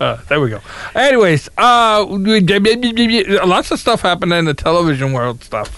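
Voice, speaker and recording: In an American accent, a bright, sharp tone moves through very wide pitch swings. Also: man, high pitch for a man, fairly slow pace. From Virginia, US. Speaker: podcast host. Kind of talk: casual banter about TV.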